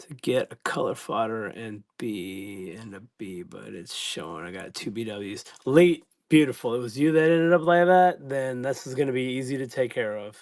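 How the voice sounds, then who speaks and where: A man with a medium-pitched voice speaks at a moderate pace, his intonation lively and his loudness swinging widely, over a quiet background. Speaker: live-stream card seller. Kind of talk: live stream chat. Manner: halting.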